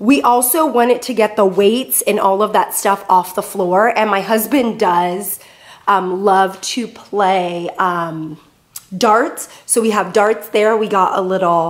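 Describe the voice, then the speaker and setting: Her pace is very slow. The woman's pitch shows ordinary variation. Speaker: home vlogger. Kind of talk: casual vlog chat. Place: garage. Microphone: phone near.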